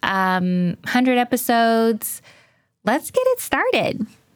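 A woman speaks with ordinary pitch variation. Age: 40s. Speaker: podcast host, spiritual advice. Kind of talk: casual advice monologue. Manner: animated.

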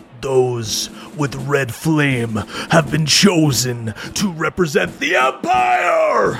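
A put-on character voice, shouting at a very slow pace over clear background noise. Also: man, medium pitch for a man. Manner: solemn, commanding.

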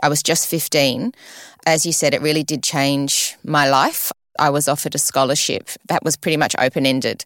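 A woman with an Australian accent speaks at a fairly quick pace with a very deep, low pitch and fairly even intonation. The sound is dry and close with no echo, and her loudness stays very even. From Sydney, Australia. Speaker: retired ballerina, ballet school director. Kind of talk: interview.

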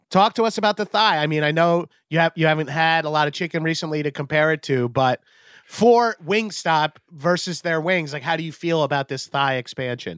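A man talks at a fairly quick pace with ordinary pitch variation and a plain, everyday voice. The recording is very clean, with a silent background and a dry, close sound with no echo. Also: fairly high pitch for a man. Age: 40s. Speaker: comedian and podcaster. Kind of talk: casual chat. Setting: live stream.

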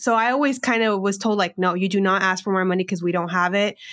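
In a very clean recording with a silent background, a voice with a Californian accent sounds dry and close, with no echo. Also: woman. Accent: Californian American English. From Southern California border town. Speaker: financial educator and entrepreneur. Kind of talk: casual interview.

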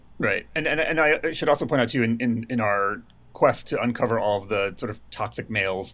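A man speaks in a normal speaking voice at a medium pitch with ordinary pitch variation, on a very clean recording with a silent background. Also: fairly quick pace. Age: 40s. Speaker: film center director and curator. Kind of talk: casual chat.

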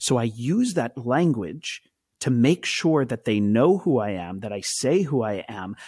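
A man with an American accent talks at a moderate pace at medium pitch, with lively intonation and an ordinary speaking voice. The very clean recording has a silent background and a dry, close sound with no echo. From Israel and United States. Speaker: actor and activist. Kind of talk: interview conversation.

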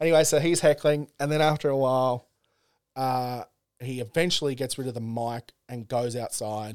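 On a very clean recording with a silent background, a man speaks with an Australian accent. His pitch is medium, with ordinary variation, at a moderate pace. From Australia, Central Coast NSW. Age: 30s. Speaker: comedian. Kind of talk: casual chat.

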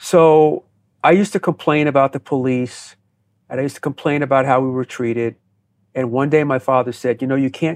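Over a quiet background, a man with a plain, everyday voice talks at a fairly quick pace in a medium pitch, keeping his intonation fairly even. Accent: American. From US Northeast (New Jersey). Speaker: counterterrorism expert and former FBI agent. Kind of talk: interview.

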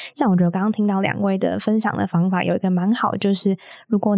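Dry and close with no echo, a woman's somewhat breathy, dark, mellow voice at medium pitch races along at a very fast pace. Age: 20s. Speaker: podcast host. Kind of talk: casual chat.

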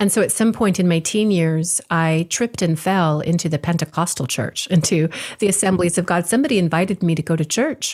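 Somewhat breathy, the voice holds very even loudness with ordinary pitch variation and hardly any pauses. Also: woman, fairly low pitch for a woman, fairly quick pace. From Hawaii. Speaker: spiritual teacher. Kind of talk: interview conversation.

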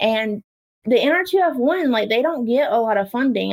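A woman with an unremarkable speaking voice talks at a fairly slow pace. Her intonation is lively. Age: 20s. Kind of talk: interview.

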